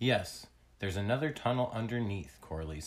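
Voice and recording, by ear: Lively intonation colors this reading aloud in a natural voice.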